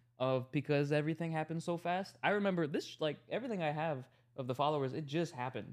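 A man with an American accent and a fairly high pitch talks at a very fast pace. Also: ordinary pitch variation, quiet background. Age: 20s. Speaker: social media content creator. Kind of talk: casual podcast interview.

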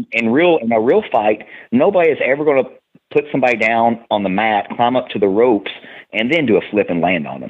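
A man with a Tennessee accent, very fast pace, medium pitch and lively intonation. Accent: Southern US, Tennessee. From Tennessee, US South. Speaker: professional wrestler and personal trainer. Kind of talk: casual podcast interview.

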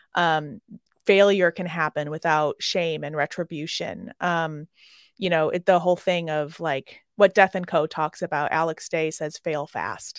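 On a very clean recording with a silent background and a dry, close sound with no echo, a woman with an American accent uses a normal speaking voice, fairly low in pitch, at a moderate pace with fairly even intonation. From Chicago, US Midwest. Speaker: hospitality mental health consultant. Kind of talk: interview.

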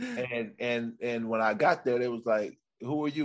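In an American accent, a man with a normal speaking voice talks at a moderate pace with fairly even intonation. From Sacramento, California. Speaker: stand-up comedian. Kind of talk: casual chat.

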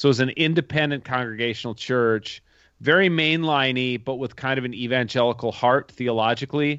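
This man talks at a fairly quick pace with an American accent, a medium pitch and ordinary pitch variation. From Minnesota, US (Minneapolis suburb). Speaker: theologian and author. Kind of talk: casual interview conversation.

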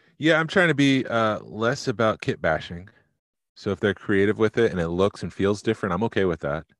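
A man with a normal speaking voice talks at a fairly quick pace, his fairly low pitch carried by lively intonation. The sound is dry and close with no echo, over a quiet background. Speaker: podcast host. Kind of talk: casual chat.

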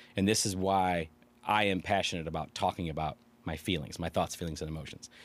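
A man with a Chicago accent at a very fast pace, on a very clean recording with a silent background. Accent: Chicago-area Midwestern. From Illinois, Chicago suburbs (Aurora). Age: 40s. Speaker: local elected official. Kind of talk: casual interview.

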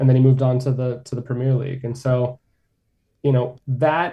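A man with an American accent speaks in a dark, mellow, somewhat breathy tone at a medium pitch, with a moderate pace and monotone, flat intonation. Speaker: sports journalist. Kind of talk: radio interview, conversational.

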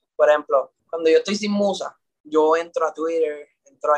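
Dry and close with no echo, a man's speech unfolds at a moderate pace. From Puerto Rico. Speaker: singer. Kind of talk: interview. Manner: halting.

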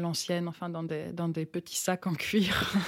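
At a fairly slow pace, a woman with a fairly low pitch and fairly even intonation speaks over noticeable background noise. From France, rural village. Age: 30s. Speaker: novelist and playwright. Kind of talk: interview conversation. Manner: halting, many repetitions and hesitations.

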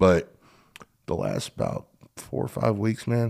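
Here is a man with an American accent. His pitch is fairly low and his pace fairly slow. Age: 30s. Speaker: podcast host and earthwork contractor. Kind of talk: casual interview.

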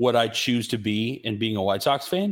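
A man with an American accent, a normal speaking voice, medium pitch and lively intonation. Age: 30s. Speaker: sports podcast host and radio producer. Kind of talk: casual chat.

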